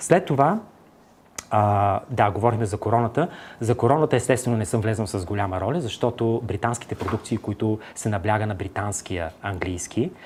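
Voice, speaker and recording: Ordinary pitch variation marks the speech, which keeps a moderate pace. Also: man, fairly low pitch for a man. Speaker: actor. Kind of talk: TV interview. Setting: TV studio. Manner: hesitant, many filler sounds.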